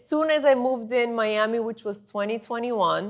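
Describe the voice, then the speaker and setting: A woman with a Bulgarian accent speaks at a fairly high pitch. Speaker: model and influencer. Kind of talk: interview.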